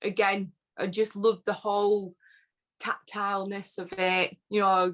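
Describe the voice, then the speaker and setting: The speaker is a woman with a northern English accent. Her pitch sits in the medium range. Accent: northern English, often taken for Yorkshire. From northern England (Lancashire, born Yorkshire border). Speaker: whisky social media personality. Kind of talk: casual interview chat.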